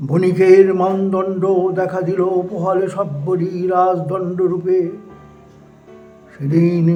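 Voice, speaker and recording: Music plays in the background. Over it, a man speaks at a high pitch. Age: 80s+. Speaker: poetry reciter. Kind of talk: poetry reading.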